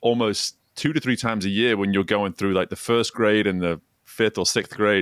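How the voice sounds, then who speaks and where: In a very clean recording with a silent background and a dry, close sound with no echo, a man with an English accent speaks at a moderate pace in a fairly low voice, with ordinary pitch variation and very even loudness. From northwest England, Chester. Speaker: former swim coach, executive coach. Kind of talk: podcast interview.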